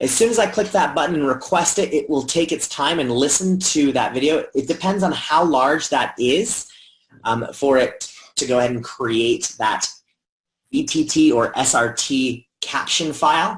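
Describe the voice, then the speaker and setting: A man with an American accent talks at a moderate pace. His voice is fairly high in pitch, with lively intonation. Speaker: educational technology trainer. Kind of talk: software tutorial. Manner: casual, conversational.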